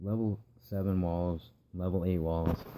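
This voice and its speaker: Quiet and very slow, a man speaks in a very deep, low pitch with a dark, mellow tone and monotone, flat intonation. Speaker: gaming video creator. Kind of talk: gameplay commentary tutorial. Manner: quiet, keeping it down.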